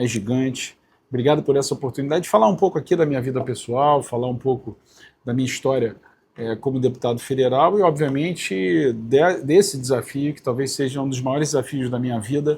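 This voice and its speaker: With a somewhat breathy, medium-pitched voice, a man speaks at a fairly quick pace with ordinary pitch variation and big swings in loudness. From Rio de Janeiro, north zone. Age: 50s. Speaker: politician. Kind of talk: interview. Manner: hesitant with fillers.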